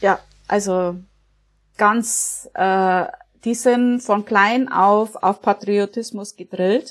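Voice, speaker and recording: Very slowly and with long, frequent pauses, a woman at medium pitch speaks with very even loudness and fairly even intonation on a very clean recording with a silent background. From Germany, Upper Palatinate (Bavaria). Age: 40s. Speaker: emigrant. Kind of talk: interview.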